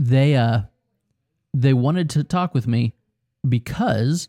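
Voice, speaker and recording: With an American accent, a man of medium pitch talks at a fairly slow pace in a dark, mellow tone, the sound dry and close with no echo. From Ohio. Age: 40s. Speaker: pastor. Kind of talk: casual chat.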